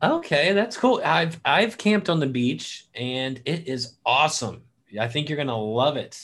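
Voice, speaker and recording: A man speaks fairly slowly on a very clean recording, the background silent. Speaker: middle school teacher hosting school podcast. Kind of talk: casual chat. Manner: animated.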